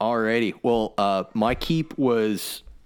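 On a very clean recording against a silent background, a man talks very slowly. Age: 30s. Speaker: writer and hunter. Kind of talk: casual chat. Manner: halting.

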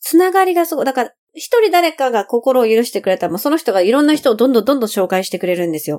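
Her high pitch leaps through very wide swings as the woman rushes along at a very fast pace with hardly any pauses. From Japan, Funabashi, Chiba. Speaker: singer-songwriter and voice trainer. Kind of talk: casual interview. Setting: remote recording.

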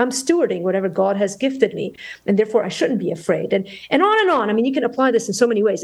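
A woman is heard. Her voice sits fairly high. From Lebanon. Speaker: pediatric ER doctor and Bible teacher. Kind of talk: interview conversation.

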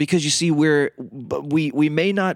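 With a Southern US accent, a man of fairly high pitch and ordinary pitch variation speaks at a moderate pace in a dry, close sound with no echo, on a very clean recording with a silent background. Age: 40s. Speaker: radio host and minister. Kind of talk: teaching talk. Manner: casual, with many fillers.

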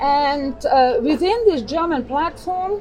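Over noticeable background noise, a woman with a high pitch speaks at a very slow pace in an Austrian accent. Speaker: choir director and singer. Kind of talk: casual interview. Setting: outdoor cafe by harbor.

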